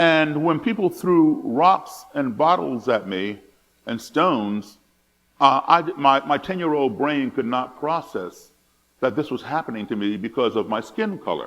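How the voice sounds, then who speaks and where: A man with an American accent, fairly high in pitch, with lively intonation and a fairly slow pace. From United States, partly raised abroad. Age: 60s. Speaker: musician and speaker on racism. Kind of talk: talk with audience. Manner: hesitant, with repetitions.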